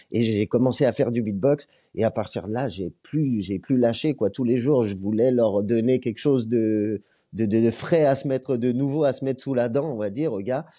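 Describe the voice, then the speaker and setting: Medium-pitched male voice, dark and mellow in tone, with ordinary pitch variation at a moderate pace against a quiet background. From Lyon area, France. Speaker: comedian and beatboxer. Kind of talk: casual interview chat.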